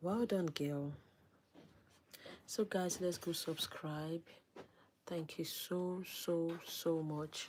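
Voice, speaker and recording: The voice has a calm tone and moves at a very slow pace with long, frequent pauses. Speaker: livestream host. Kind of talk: casual livestream chat.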